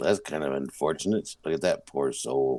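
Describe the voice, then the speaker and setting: A raspy, put-on character voice from a man, very deep and low in pitch, at a moderate pace. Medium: actual play. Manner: folksy, earnest.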